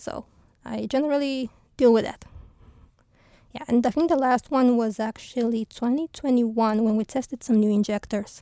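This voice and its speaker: A woman speaks at a very slow pace with long, frequent pauses, in a high pitch with a dark, mellow tone. Her intonation is fairly even, and the sound is dry and close with no echo. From Romania. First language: Romanian (speaking Danish). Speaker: rocket engineer. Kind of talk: interview. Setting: studio.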